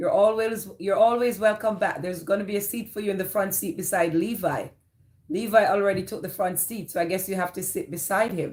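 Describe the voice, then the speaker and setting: In a Jamaican accent, a woman talks at a moderate pace and medium pitch, somewhat breathy, with ordinary pitch variation. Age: 50s. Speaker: live streamer. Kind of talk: casual chat.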